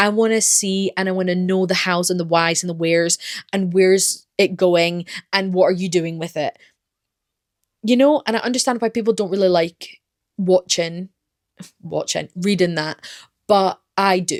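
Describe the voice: In a very clean recording with a silent background and a dry, close sound with no echo, a woman speaks at a moderate pace with a fairly low pitch and ordinary pitch variation.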